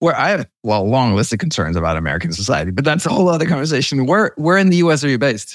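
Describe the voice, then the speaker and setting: Very fast pace, very wide pitch swings, very even loudness throughout. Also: man, fairly high pitch for a man. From Denmark. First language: Danish. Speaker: software company founder. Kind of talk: interview. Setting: video call.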